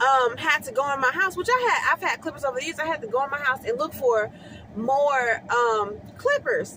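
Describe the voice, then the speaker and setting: Raised and projected, a woman's voice sounds bright and sharp, set at a high pitch with ordinary pitch variation. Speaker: hair stylist. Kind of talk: casual vlog tips. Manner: fast.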